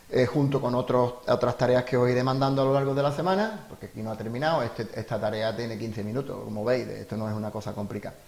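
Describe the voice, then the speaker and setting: Very fast and with hardly any pauses, a man talks in a medium pitch with ordinary pitch variation. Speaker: teacher. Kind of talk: tutorial. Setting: home during lockdown.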